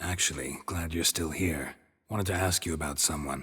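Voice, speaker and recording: Putting on a character voice, a man speaks at a moderate pace with a raspy, very deep, low pitch and fairly even intonation. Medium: video game. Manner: deadpan, laconic.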